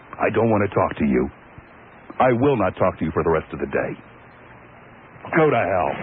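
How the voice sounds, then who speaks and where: An angry man speaks in a very deep, low pitch with very wide pitch swings and very even loudness. Long, frequent pauses break his speech against noticeable background noise. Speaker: radio talk show host. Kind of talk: talk radio monologue. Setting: radio studio.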